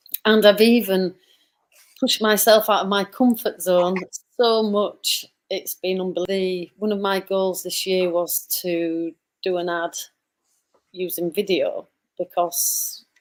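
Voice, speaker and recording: A woman with a northern English accent speaks at a medium pitch and a fairly slow pace. Her intonation is fairly even, with long, frequent pauses. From northern England. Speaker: online business owner. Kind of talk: casual chat. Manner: hesitant, many fillers.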